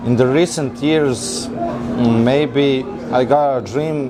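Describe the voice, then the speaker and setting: Noticeable background noise and audible room echo surround the recording. A man speaks at medium pitch with ordinary pitch variation. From Serbia, central (Trstenik). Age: 20s. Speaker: mechanical engineer. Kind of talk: interview. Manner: halting.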